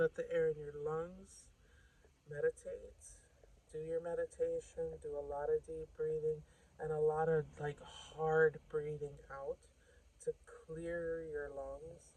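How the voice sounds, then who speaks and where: Soft-spoken and at a very slow pace, the voice leaves long, frequent pauses. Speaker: tarot reader. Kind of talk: tarot reading.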